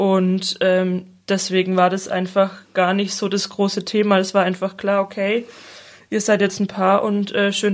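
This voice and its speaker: A woman's medium-pitched voice in a flat, monotone delivery. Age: 20s. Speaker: social worker. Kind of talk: interview.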